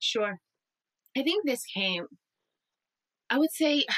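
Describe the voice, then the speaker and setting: Animated in tone, a woman speaks fairly slowly over a quiet background, the sound dry with no echo. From Puerto Rico. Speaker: audiobook narrator and actor; audiobook narrator, actor. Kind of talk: casual interview. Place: home room.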